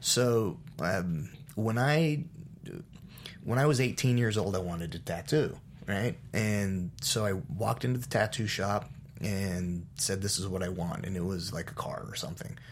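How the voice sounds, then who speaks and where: Using a plain, everyday voice, a man speaks at a moderate pace and a fairly low pitch with lively intonation. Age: 40s. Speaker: race car driver and memoir author.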